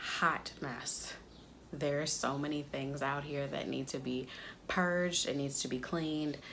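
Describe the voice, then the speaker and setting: A woman speaks at a fairly slow pace with a very deep, low pitch. There is audible room echo. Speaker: DIY crafts YouTuber. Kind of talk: casual vlog talk to camera. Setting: enclosed back porch, window open.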